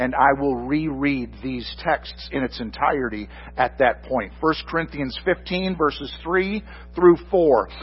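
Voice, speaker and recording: There is noticeable background noise as a man with an American accent talks at a fairly slow pace. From Michigan. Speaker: pastor. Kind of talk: sermon.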